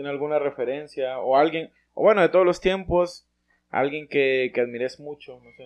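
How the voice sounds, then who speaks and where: In an unremarkable speaking voice, a man talks at a moderate pace with a fairly high pitch and ordinary pitch variation. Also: big swings in loudness. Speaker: podcast co-host. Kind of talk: casual interview.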